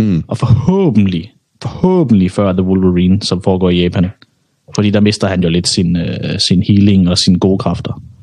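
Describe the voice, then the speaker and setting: A man with a very deep, low voice talks at a moderate pace, his intonation fairly even. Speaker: podcast co-host. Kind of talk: casual banter, podcast chat.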